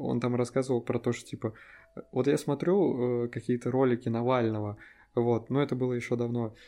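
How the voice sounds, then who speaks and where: Using an ordinary speaking voice, a man talks at a fairly quick pace. His pitch is medium and his intonation fairly even. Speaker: podcast co-host. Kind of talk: casual chat.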